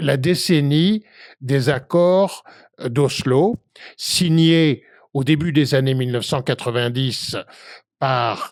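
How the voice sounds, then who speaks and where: A man's fairly high voice at a very slow pace, with ordinary pitch variation, on a very clean recording with a silent background. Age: 70s. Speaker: activist, association co-founder. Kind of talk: interview. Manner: halting, many filler hesitations.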